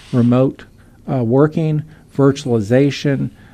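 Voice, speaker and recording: Here a man speaks fairly slowly with a fairly high pitch and a dark, mellow tone. The background is quiet. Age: 60s. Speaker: economics professor. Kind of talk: radio interview. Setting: radio studio.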